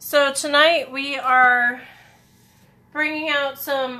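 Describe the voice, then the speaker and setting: A woman's raised, projected voice, high-pitched with a bright, sharp tone, fairly even intonation and a very slow pace. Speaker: papercraft demonstrator. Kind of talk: live craft tutorial. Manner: casual, chatty.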